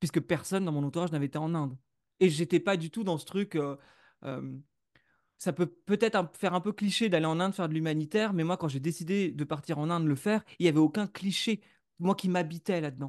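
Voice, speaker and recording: A man talks at a fairly quick pace in a high pitch with ordinary pitch variation, the sound dry and close with no echo over a quiet background. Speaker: podcaster and entrepreneur, former musician. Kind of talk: interview. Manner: hesitant, with many fillers.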